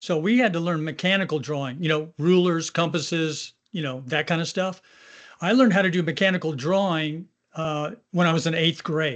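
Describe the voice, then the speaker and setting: Against a quiet background, a man speaks at a moderate pace. His voice is high, with ordinary pitch variation. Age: 70s. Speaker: manufacturing industry panelist. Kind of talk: panel discussion.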